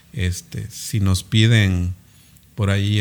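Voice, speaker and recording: A man speaks with ordinary pitch variation. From Cintalapa, Chiapas, Mexico. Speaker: dentist and local political hopeful. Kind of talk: interview.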